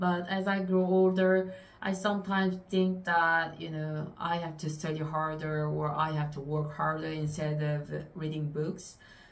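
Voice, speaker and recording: A woman's very deep, low, monotone voice with a non-native accent, at a fairly slow pace. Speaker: booktuber. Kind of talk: casual talk to camera. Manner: hesitant, many fillers.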